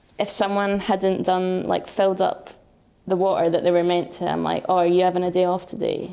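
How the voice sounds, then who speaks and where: A woman's medium-pitched, monotone, flat delivery at a fairly quick pace, with music in the background. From Scotland, Penicuik (Midlothian). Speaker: professional footballer. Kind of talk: podcast interview. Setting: recorded at team camp. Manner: direct, straight talking.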